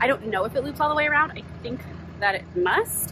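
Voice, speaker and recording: A woman talks at a fairly quick pace. The sound is dry with no echo, though there is noticeable background noise. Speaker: family travel vlogger. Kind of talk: casual vlog chat. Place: open country. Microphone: phone near.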